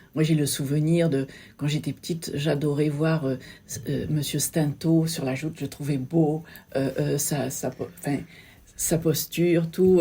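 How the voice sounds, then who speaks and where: A dark, mellow tone comes through in this somewhat breathy voice. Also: woman. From Sète, southern France. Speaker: local business owner and photographer. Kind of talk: interview. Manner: halting, many hesitations.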